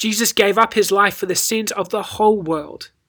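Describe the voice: What you hear is plain reading aloud.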